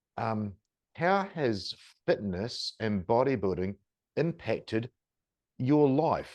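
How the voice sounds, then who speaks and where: A man with a New Zealand accent, medium pitch and lively intonation, against a quiet background. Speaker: podcast host. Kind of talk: podcast interview.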